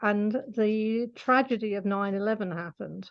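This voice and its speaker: Against a quiet background, a woman talks with a fairly high pitch. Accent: British. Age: 60s. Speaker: animal communicator. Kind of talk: interview. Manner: hesitant, with fillers.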